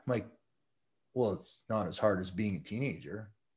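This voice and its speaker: The man's voice comes across somewhat breathy, with quiet all around it. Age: 50s. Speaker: ultramarathon runner and motivational speaker. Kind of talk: interview testimony.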